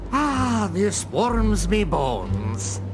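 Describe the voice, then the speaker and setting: Loud background noise surrounds a cartoonish character voice pitched low. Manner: teasing, boastful.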